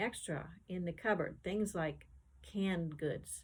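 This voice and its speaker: The voice is somewhat breathy. Its pitch variation is ordinary. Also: woman. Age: 70s. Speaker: artist and sewing tutor. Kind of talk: sewing tutorial with casual chat. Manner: casual, conversational.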